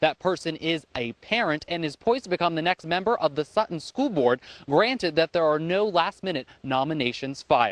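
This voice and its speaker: A man with an ordinary speaking voice, fairly high pitch and lively intonation, talking at a fairly quick pace with hardly any pauses in a dry, close sound with no echo and a quiet background. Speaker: news reporter and anchor. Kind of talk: local TV news reporting and anchoring. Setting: on location. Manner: field reporter delivery.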